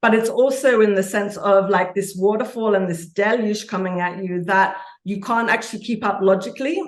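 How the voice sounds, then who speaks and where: A woman speaks in an energetic, passionate tone with hardly any pauses. Audible room echo surrounds her voice. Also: medium pitch for a woman. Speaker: author and archetypal consultant. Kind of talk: interview conversation. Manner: fast.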